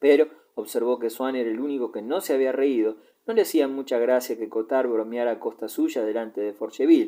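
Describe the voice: Text is read out with no frills. It is a plain read-aloud.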